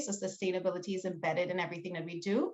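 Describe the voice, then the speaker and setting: A woman's medium-pitched voice with a Trinidadian accent. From Trinidad and Tobago. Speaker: small business owner and teacher. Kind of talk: panel discussion.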